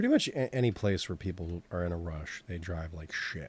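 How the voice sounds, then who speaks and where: A man with a Boston accent speaks in a very deep, low, somewhat breathy voice with ordinary pitch variation. The sound is dry with no echo. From Boston, Massachusetts. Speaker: digital sculpting instructor. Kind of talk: live-streamed tutorial, casual commentary; casual live-stream chat while working. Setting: live stream. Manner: casual, halting with fillers. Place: home room.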